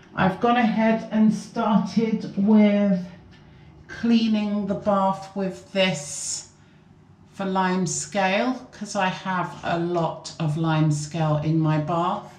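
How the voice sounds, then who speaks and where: The woman's voice carries audible room echo. She talks very slowly, with ordinary pitch variation. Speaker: cleaning vlogger. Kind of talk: casual vlog chat. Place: bathroom.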